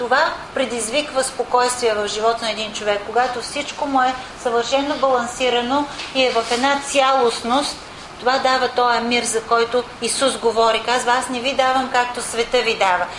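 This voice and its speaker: Amid noticeable background noise and audible room echo, a woman speaks at a moderate pace and high pitch in a monotone, flat intonation. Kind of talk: sermon.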